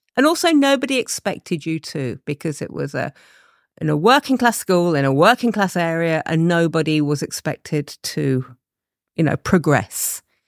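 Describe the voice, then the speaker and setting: On a very clean recording with a silent background and a dry, close sound without echo, a woman with an East Midlands accent talks at a moderate pace in a fairly low pitch, her voice making very wide pitch swings. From England, Leicester. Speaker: advertising creative director. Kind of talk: interview.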